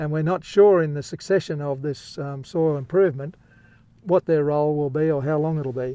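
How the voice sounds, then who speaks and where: Speaking with an Australian accent, a man uses a fairly high pitch and fairly even intonation at a moderate pace. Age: 70s. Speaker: farmer. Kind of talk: casual chat. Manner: halting.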